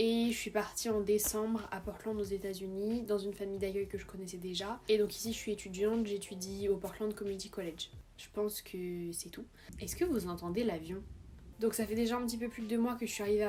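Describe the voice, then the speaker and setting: Speaking fairly quickly at a medium pitch, a woman sounds somewhat breathy, with a dark, mellow tone. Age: 20s. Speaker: vlogger, exchange student. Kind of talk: casual vlog Q&A. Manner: animated.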